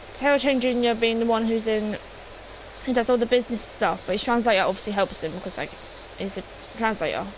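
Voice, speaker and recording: Someone speaks with an English accent over noticeable background noise. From England. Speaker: gaming streamer. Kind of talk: live stream chat. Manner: halting, many fillers.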